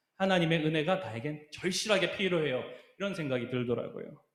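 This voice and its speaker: Fairly quick speech from a man, audible room echo around it. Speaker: youth pastor. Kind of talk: sermon.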